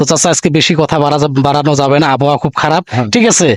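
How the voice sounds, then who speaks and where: In a normal speaking voice, a man talks with a fairly high pitch. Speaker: local YouTube reporter. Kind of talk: street interview and video presentation.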